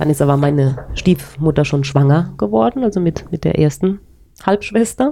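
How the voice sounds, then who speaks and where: A woman speaks with a dark, mellow tone and a very deep, low pitch. Her intonation is lively, and her loudness is very even. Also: moderate pace. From Palatinate, Germany (Speyer area), later childhood in Paraguay. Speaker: interviewee sharing her life story. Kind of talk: personal life story in a casual interview.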